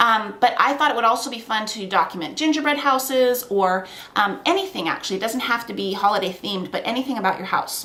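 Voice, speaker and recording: An animated woman at fairly high pitch, with lively intonation and a fairly quick pace, over noticeable background noise. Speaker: scrapbooking crafter. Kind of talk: craft tutorial. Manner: fast.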